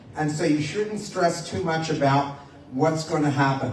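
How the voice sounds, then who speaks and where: A man with an American accent speaks at a fairly slow pace in a fairly high pitch, with ordinary pitch variation, noticeable background noise and audible room echo. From United States. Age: 60s. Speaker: motivational speaker and lecturer. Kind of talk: public talk to an audience.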